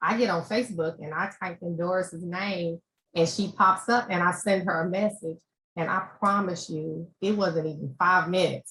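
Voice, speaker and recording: Moderate pace with ordinary pitch variation. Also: woman. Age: 60s. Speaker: panel speaker sharing adoption story. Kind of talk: testimony.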